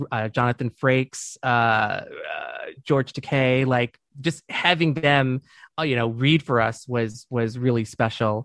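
A man speaks with an American accent in an ordinary speaking voice. The sound is dry and close with no echo, against a quiet background. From Michigan, US (Dearborn). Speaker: podcast co-host, former teacher. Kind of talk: casual chat.

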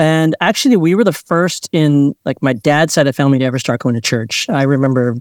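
A man at a fairly quick pace in a Mid-Atlantic American accent, with a dry, close sound, no echo, and a very clean recording over a silent background. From Maryland, Montgomery County. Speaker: pastor. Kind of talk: interview conversation.

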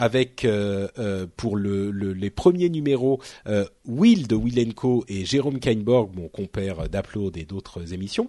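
A man speaks at a very slow pace with a dark, mellow tone. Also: ordinary pitch variation. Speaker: tech podcast host. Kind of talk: casual chat.

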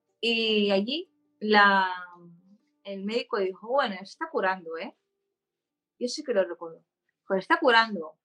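Speaking fairly slowly with long, frequent pauses, a woman uses lively intonation at a medium pitch, her loudness swinging widely. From Spain, Barcelona. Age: 30s. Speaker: patient advocate with epilepsy. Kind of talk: interview.

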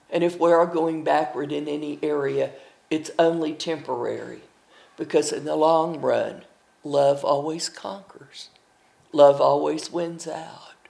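With an Appalachian accent, a woman talks at a fairly slow pace with long, frequent pauses. Her loudness swings widely. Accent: Appalachian Southern US. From US Appalachia, eastern Tennessee and Kentucky. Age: 80s+. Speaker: storyteller. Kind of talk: interview.

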